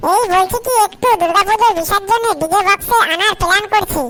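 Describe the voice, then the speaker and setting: A woman does a put-on character voice that is squeaky yet gruff, extremely high in pitch, with ordinary pitch variation, very even loudness and a moderate pace. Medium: fan dub. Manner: gruff, foul-mouthed.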